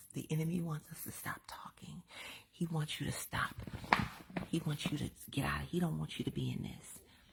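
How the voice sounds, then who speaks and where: A woman whispering at a moderate pace. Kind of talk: inspirational talk. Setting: at home. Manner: animated.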